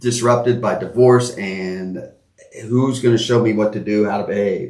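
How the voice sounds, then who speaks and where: Audible room echo is present. Within it, a man speaks at a medium pitch. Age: 60s. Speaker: podcast co-host. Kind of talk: casual conversation. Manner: halting.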